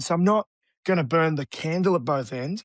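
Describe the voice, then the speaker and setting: Talking at a very fast pace, a man with an Australian accent uses fairly high pitch and ordinary pitch variation over a quiet background. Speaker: real estate agent. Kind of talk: interview. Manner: animated.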